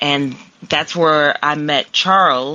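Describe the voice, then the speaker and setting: A woman's very deep, low voice with a slight Southern accent and ordinary pitch variation. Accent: slight southern twang. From Columbus, Ohio. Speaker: pop singer. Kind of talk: casual interview. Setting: call-in app.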